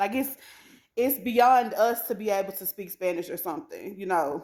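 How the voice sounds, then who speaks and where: The pitch swings very widely as a woman speaks. Her tone is animated. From USA. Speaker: vlogger. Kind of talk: casual monologue vlog.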